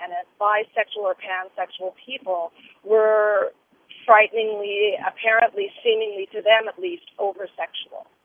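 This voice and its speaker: A woman's normal speaking voice, fairly high-pitched with ordinary pitch variation, at a moderate pace with big swings in loudness. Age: 50s. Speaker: caller. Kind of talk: radio call-in. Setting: phone call from a car.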